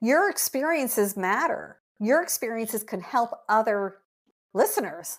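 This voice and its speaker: With lively intonation and a fairly high pitch, a woman talks at a fairly slow pace in an unremarkable speaking voice, recorded very cleanly against a silent background. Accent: Canadian. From Quebec, Montreal. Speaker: podcast host, dog blogger. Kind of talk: casual chat.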